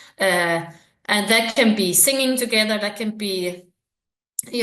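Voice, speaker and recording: Speaking at a moderate pace, a woman with a Danish accent uses a medium pitch. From Denmark. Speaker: researcher. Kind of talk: interview. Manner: hesitant, many fillers.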